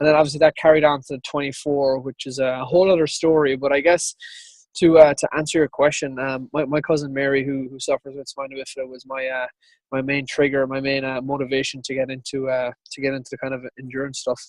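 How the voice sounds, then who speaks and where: With an Irish accent, a man talks at a very fast pace in a monotone, flat way, his loudness swinging widely, the sound dry and close with no echo. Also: fairly high pitch for a man. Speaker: ultrarunner. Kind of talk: interview.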